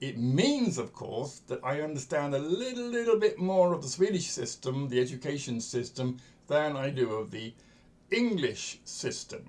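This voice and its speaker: Somewhat breathy, a man speaks at a fairly high pitch and moderate pace with very wide pitch swings. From England. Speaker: coach and educator. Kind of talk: lecture. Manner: conversational, with fillers.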